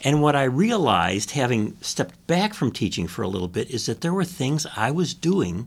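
A man's medium-pitched voice with vocal fry and very wide pitch swings, at a moderate pace, on a very clean recording with a silent background. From US Midwest (Chicago). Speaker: retired communications professor, author. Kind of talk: interview.

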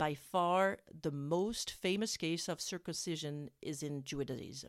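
On a very clean recording with a silent background, a woman speaks with a French accent and lively intonation. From France. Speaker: parenting podcast host. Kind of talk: scripted narration. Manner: halting.

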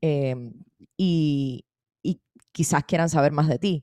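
On a very clean recording with a silent background and a dry, close sound with no echo, a woman speaks in a very deep, low pitch with a dark, mellow tone and ordinary pitch variation. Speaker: podcast host. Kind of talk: interview.

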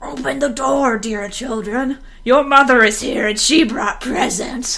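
In a put-on character voice, a female-sounding voice with a high pitch speaks at a fairly slow pace against light background noise. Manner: feigned sweetness.

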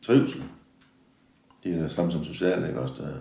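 A man's voice with vocal fry and audible room echo. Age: 60s. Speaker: factory yard worker. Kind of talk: interview. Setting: factory. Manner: halting.

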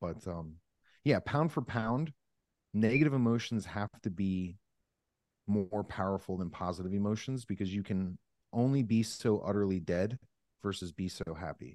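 Against a quiet background, a man with an American accent talks at a moderate pace with fairly low pitch, ordinary pitch variation, and long, frequent pauses. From US, Northeast Pennsylvania. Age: 30s. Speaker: sales coach and cancer survivor. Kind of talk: podcast interview.

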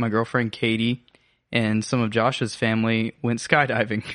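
Speaking fairly slowly with an American accent, a man uses a medium pitch. He has an ordinary speaking voice, and the background is quiet. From US South, North Georgia (Habersham County). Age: 20s. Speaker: college student podcast co-host. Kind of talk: casual chat, personal testimony interview.

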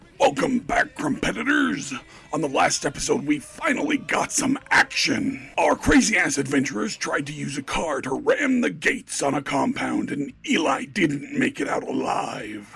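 A man's put-on character voice, extremely high in pitch, with very wide pitch swings, a moderate pace and hardly any pauses. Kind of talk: game-show announcer. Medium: actual play. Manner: hyped, brash, joking.

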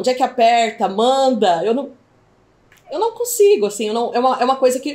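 A woman talks at a fairly quick pace in a high voice, her intonation lively. Noticeable background noise runs behind her. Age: 40s. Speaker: school owner and online entrepreneur. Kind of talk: testimony. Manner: halting.

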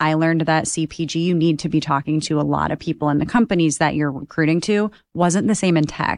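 A woman speaks in a very deep, low pitch at a fairly quick pace, with ordinary pitch variation. The sound is dry and close with no echo, over a quiet background. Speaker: MBA student, former teacher. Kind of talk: casual panel chat.

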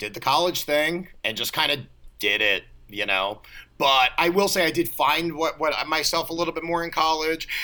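With an American accent, a man talks in a fairly high pitch with vocal fry. His tone is bright and sharp, and his intonation is lively. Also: moderate pace. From US East Coast, Baltimore. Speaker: comedian and actor. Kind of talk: casual chat.

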